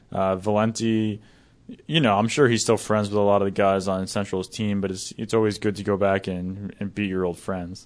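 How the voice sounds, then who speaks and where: Against a quiet background, a man talks in an ordinary speaking voice at a fairly low pitch, a moderate pace and with fairly even intonation. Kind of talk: studio sports-talk panel show, not live play-by-play; analytical. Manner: conversational, casual, filler-heavy ('you know'), even and explanatory.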